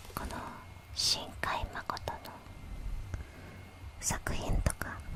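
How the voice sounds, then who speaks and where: Someone whispers very slowly, with noticeable background noise around the voice. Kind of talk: whispered ASMR self-introduction in Japanese. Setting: close-mic ear-to-ear ASMR recording. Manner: whispered, soft.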